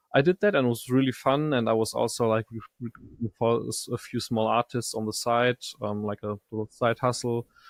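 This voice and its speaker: Speaking at a fairly quick pace, a man with an unremarkable speaking voice keeps a medium pitch and a fairly even intonation. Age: 20s. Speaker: audio software startup co-founder. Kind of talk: podcast interview.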